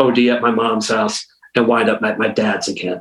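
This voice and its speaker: Here is a man with an American accent and an unremarkable speaking voice. He talks at a moderate pace. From Western Massachusetts. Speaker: hardcore punk drummer. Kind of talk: interview.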